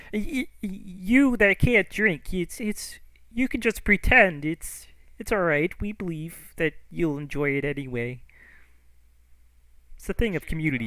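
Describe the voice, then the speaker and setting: A man does a put-on character voice at a high pitch and a moderate pace, with long, frequent pauses. The recording is very clean, with a silent background. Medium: actual play. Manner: hesitant, stammering.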